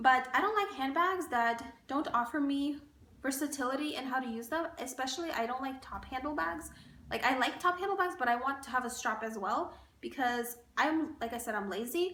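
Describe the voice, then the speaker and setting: With audible room echo, a woman speaks in a high, raised, projected voice, her tone animated and her intonation lively. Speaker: beauty and fashion vlogger. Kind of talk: casual chat. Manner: fast.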